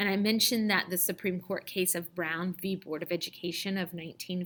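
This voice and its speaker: A woman in a plain, everyday voice, fairly even in intonation, on a very clean recording with a silent background. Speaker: teacher. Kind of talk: lecture. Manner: casual, many fillers.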